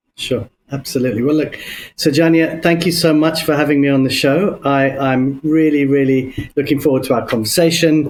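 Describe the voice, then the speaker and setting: With a London accent, a man talks at a fairly quick pace in a fairly high pitch, with fairly even intonation and very even loudness. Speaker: business consultant. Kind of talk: podcast interview. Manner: hesitant, many fillers.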